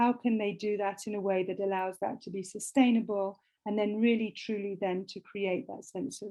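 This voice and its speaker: A woman's medium-pitched voice with a British accent, flat and monotone in intonation. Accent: British, non-Canadian. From Britain. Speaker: humanitarian lawyer and nonprofit director. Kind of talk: interview conversation.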